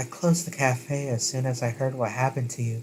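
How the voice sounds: A man speaks very fast in a nasal, put-on character voice at a medium pitch with fairly even intonation.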